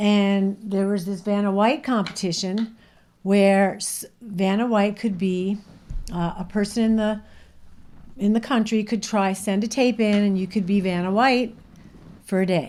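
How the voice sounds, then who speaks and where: An ordinary speaking voice proceeds at a fairly slow pace with fairly even intonation. The recording is very clean, the background silent. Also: woman, medium pitch for a woman. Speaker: operating room nurse. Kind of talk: casual podcast chat, storytelling.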